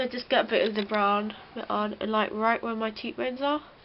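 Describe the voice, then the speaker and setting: A woman with a British accent talks in a fairly high voice with fairly even intonation. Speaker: beauty vlogger. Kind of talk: tutorial. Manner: casual, chatty.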